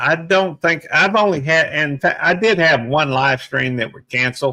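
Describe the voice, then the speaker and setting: A plain, everyday voice at a fairly slow pace, with big swings in loudness and ordinary pitch variation. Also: man. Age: 60s. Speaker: YouTuber and police officer. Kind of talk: casual chat.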